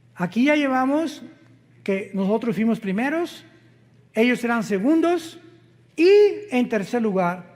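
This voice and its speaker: Extremely high-pitched male voice, fairly slow, with lively intonation and long, frequent pauses. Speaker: preacher. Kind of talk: sermon. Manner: deliberately slow, careful pace.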